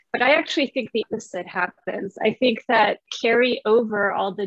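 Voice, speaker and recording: Intonation remains fairly even. Delivery keeps to a moderate pace. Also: woman. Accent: Spanish. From Spanish-speaking upbringing. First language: Spanish. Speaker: translator and literature professor. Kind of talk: panel conversation.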